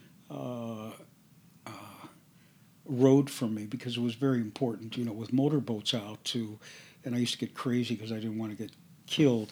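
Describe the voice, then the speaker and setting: A man with a dark, mellow tone speaks at a moderate pace and medium pitch. His intonation is fairly even, and he leaves long, frequent pauses. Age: old. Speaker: interview guest. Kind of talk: casual interview.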